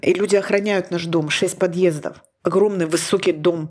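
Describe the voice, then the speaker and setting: Her pitch medium and her intonation fairly even, a woman talks at a fairly slow pace. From Ukraine, Donetsk. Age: 50s. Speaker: podcast host. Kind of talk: casual chat.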